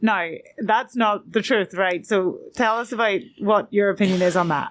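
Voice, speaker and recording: A woman with an Irish accent speaks at a moderate pace and medium pitch, with ordinary pitch variation. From Ireland. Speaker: podcast host. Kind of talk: interview question.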